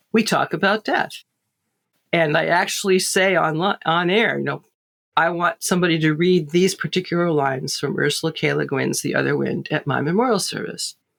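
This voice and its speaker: Fairly quick speech from a woman, fairly low-pitched with vocal fry and ordinary pitch variation. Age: 70s. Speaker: Tolkien scholar. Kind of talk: casual chat.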